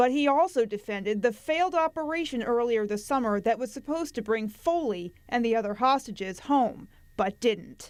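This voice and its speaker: A woman with a plain, everyday voice, fairly high in pitch, lively intonation, a moderate pace and hardly any pauses. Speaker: television news anchor. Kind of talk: TV news anchor delivery.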